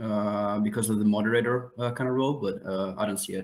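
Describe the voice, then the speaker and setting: Using a plain, everyday voice, a man talks at a fairly quick pace with fairly even intonation. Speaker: hub editor and researcher. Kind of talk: online community meeting. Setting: video call. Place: home room.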